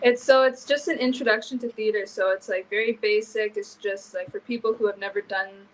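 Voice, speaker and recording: Her voice is an ordinary speaking voice with a Canadian accent. The woman's pitch is fairly high, with ordinary pitch variation. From Canada. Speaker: university student. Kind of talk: live interview.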